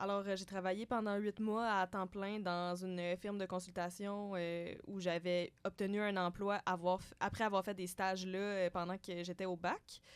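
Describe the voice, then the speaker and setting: Delivered in a flat monotone, the words come out at a fairly slow pace. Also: woman, medium pitch for a woman. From Quebec, Sherbrooke. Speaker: economics graduate student. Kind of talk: interview. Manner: hesitant, many fillers.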